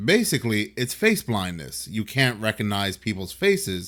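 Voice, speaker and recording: A man's medium-pitched voice with vocal fry, lively intonation and an animated tone, at a moderate pace. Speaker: YouTube commentator. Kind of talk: video commentary.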